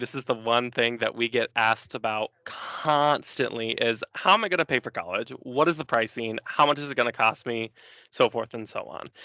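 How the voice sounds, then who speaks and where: The voice has a bright, sharp tone with an American accent. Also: man. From northeast Indiana, US. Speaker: university admissions counselor. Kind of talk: presentation. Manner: fast; casual.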